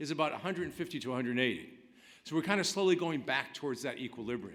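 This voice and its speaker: Vocal fry runs through the voice, which has very wide pitch swings. The room echo is audible. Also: man. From New England. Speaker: labor economist presenter. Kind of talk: conference presentation. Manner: fast.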